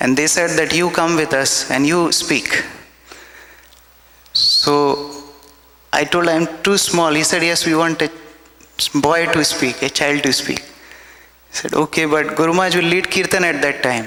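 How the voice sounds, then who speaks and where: A man with an Indian accent speaks at a fairly high pitch in a monotone, flat intonation, with long, frequent pauses and noticeable background noise. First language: Hindi. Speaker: devotee speaker at memorial festival. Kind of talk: devotional testimony. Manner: halting.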